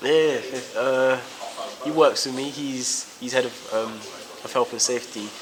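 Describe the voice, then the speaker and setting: With a South London accent, a man at a medium pitch speaks fairly slowly in a flat monotone, with long, frequent pauses, big swings in loudness and noticeable background noise. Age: 20s. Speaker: professional boxer. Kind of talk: interview. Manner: halting, many fillers.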